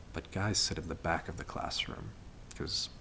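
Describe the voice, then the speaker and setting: A man speaks with an American accent. His pace is moderate. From United States. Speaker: study abroad student. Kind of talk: testimony.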